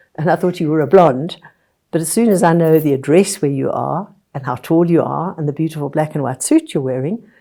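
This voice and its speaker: A woman speaks at a fairly quick pace with a very deep, low pitch and a dark, mellow tone. Her pitch varies in an ordinary way, and the recording is very clean with a silent background. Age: 80s. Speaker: tree book author. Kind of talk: interview.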